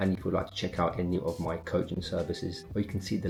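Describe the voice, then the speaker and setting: With music in the background, a man speaks very fast in a very deep, low pitch and a monotone, flat intonation. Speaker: fitness coach. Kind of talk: casual vlog narration.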